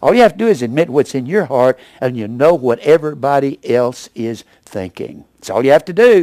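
Delivered at a fairly quick pace, a normal speaking voice carries lively intonation in a dry, close sound with no echo. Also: man, fairly high pitch for a man. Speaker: Bible preacher and teacher. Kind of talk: sermon delivered to a congregation.

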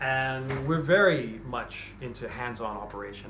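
At a moderate pace, the speech carries ordinary pitch variation over light background noise. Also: man. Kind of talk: casual promotional talk. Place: shop. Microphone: phone near.

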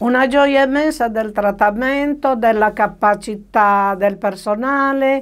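Over a quiet background, a woman talks at a very slow pace with ordinary pitch variation. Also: hardly any pauses. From Sardinia, Italy. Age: 80s+. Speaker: patient. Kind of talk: testimonial interview; interview answer. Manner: halting, with hesitations. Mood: pleased, grateful. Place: studio.

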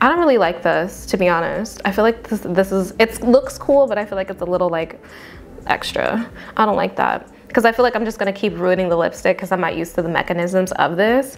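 A woman talks at a very fast pace against light background noise. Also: ordinary pitch variation. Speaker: beauty vlogger. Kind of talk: casual product review chat. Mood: amused, mildly frustrated. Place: home room.

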